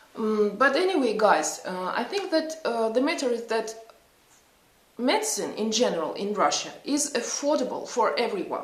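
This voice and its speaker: A high-pitched woman's voice swings very widely in pitch. Audible room echo and noticeable background noise fill the recording. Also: moderate pace. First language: not English. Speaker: psychologist and vlogger. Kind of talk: casual vlog talk. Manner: halting, many fillers.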